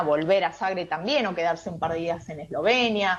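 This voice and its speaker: A woman speaks with an Argentine accent. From Argentina. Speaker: tour guide. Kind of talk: radio interview. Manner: hesitant, many fillers.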